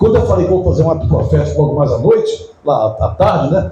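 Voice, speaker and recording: A man's voice comes through noticeable background noise. Audible room echo is present too. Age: 70s. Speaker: pastor. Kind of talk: sermon. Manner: conversational, anecdotal preaching.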